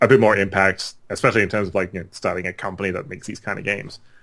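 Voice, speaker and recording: A man speaks at a fairly low pitch with an Australian accent. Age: 30s. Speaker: game developer. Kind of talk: casual chat.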